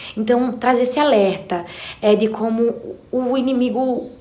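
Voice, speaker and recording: A woman's voice at a moderate pace, with fairly even intonation and audible room echo. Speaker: book youtuber. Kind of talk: book recommendation vlog.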